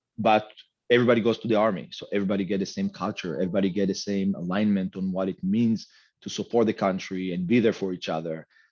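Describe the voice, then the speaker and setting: A man with an Israeli accent, fairly low in pitch, at a very fast pace with fairly even intonation against a quiet background. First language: Hebrew. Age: 50s. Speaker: medtech executive. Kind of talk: interview.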